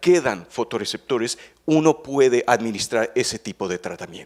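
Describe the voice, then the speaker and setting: Pitch leaps very widely here. The speaker is a man. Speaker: veterinary ophthalmologist, researcher. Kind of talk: conference talk. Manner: halting, many fillers and repetitions.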